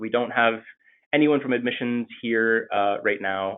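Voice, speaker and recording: This is a man with an American accent, using a normal speaking voice. His pitch is medium, with ordinary pitch variation. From Maine, US. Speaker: MBA student. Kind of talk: webinar presentation. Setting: video call.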